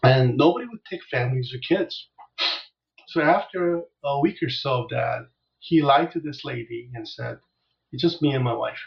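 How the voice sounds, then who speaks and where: Big swings in loudness mark this man's somewhat breathy speech. His pitch is fairly high, with ordinary variation. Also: moderate pace. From South Korea, moved to US at nine. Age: 60s. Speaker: business coach. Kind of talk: interview. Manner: gentle; halting.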